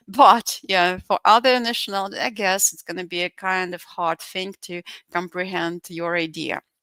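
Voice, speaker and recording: Dry, close sound with no echo, and a woman of medium pitch with a non-native accent, fairly even intonation and a moderate pace. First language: Russian. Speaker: English teacher. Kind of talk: online lecture. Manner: halting, many fillers.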